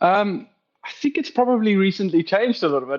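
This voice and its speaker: Here is a man with a South African accent. He speaks at a very fast pace. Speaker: operations director. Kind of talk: podcast interview.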